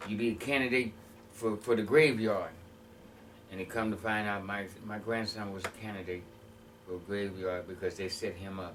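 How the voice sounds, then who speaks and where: At a moderate pace with long, frequent pauses, a man with a fairly low pitch talks in an American accent amid audible room echo. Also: fairly even intonation. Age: 60s. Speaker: former prisoner sharing life story. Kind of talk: interview testimony. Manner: halting.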